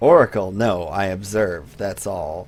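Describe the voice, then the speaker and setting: A man uses a put-on character voice that is creaky and very deep, low, at a fairly slow pace. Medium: game stream. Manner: slow, solemn, prophetic.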